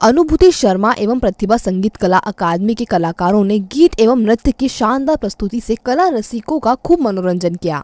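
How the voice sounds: Her voice is fairly high and slightly mellow in tone, and the woman speaks with lively intonation. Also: moderate pace, dry, close sound with no echo, few pauses.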